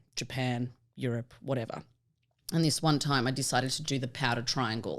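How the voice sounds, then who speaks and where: A woman with an Australian accent and a very deep, low pitch, ordinary pitch variation, a fairly quick pace, and a very clean recording with a silent background. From Australia, Melbourne. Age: 30s. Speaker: vet technician and stand-up comedian. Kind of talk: casual podcast chat.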